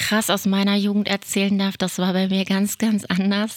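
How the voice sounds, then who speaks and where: A woman speaks at a medium pitch in a very clean recording with a silent background and a dry, close sound with no echo. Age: 50s. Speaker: podcast host, self-help group co-founder. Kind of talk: casual chat.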